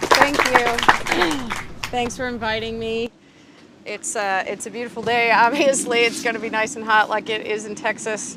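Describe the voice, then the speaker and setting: A woman with an American accent and fairly high pitch speaks at a moderate pace with fairly even intonation, long, frequent pauses and big swings in loudness over noticeable background noise. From Wisconsin, US Upper Midwest. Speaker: biologist. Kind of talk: public talk. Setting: outdoors, hot day.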